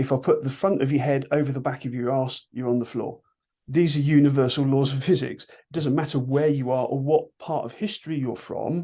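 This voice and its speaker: A man speaks at a fairly quick pace with a British accent, his pitch fairly high and his tone dark and mellow. His loudness swings widely against a quiet background. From UK. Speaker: martial arts instructor. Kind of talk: interview. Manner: animated.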